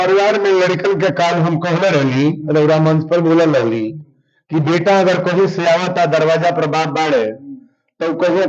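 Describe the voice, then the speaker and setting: A man with a Bhojpuri accent speaks in a high pitch with ordinary pitch variation. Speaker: religious storyteller. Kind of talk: interview answer.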